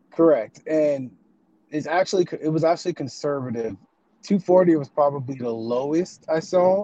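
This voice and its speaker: This dark, mellow voice speaks with an American accent at a moderate pace and ordinary pitch variation. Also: man, fairly high pitch for a man. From Texas. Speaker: caller. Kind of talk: casual chat. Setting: in a car.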